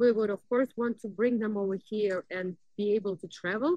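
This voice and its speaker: A woman talks at a moderate pace with a fairly high pitch. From Russia. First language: Russian. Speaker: vlogger. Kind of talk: casual vlog talk. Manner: animated.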